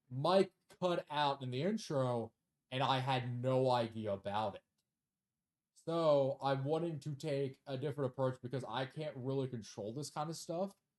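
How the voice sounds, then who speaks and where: Quiet and recorded with a dry, close sound with no echo, a man speaks at medium pitch and a moderate pace with ordinary pitch variation. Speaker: gaming youtuber and streamer. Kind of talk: casual video commentary and self-review. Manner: low energy, quiet; hesitant, many fillers.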